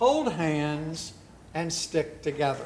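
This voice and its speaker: Against noticeable background noise, a man talks at a very slow pace with lively intonation. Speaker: guest preacher. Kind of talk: church sermon.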